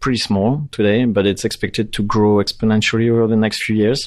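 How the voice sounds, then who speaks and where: Against a quiet background, a man with a French accent speaks at a medium pitch in a monotone, flat intonation. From France. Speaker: tech company CEO. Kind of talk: interview. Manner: hesitant, many fillers.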